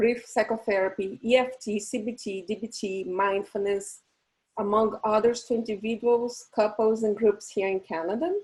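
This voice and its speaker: With a Portuguese accent, a woman speaks at a fairly high pitch and a moderate pace, her intonation fairly even. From Brazil. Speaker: psychologist and event host. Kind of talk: webinar hosting.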